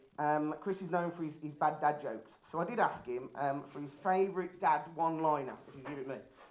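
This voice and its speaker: A man's fairly quick speech in a Birmingham accent, fairly high in pitch with ordinary pitch variation, big swings in loudness and audible room echo. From Birmingham, England. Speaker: amateur stand-up comedian. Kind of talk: stand-up. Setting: stage with audience.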